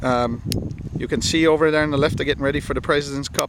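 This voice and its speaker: There is noticeable background noise behind a man talking at a fairly high pitch. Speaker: turf internship program interviewer. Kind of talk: interviewer questions.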